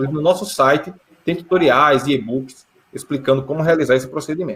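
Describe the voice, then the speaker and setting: The man's delivery is very fast, and his pitch sits fairly high. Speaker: geoprocessing instructor. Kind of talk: conference talk Q&A.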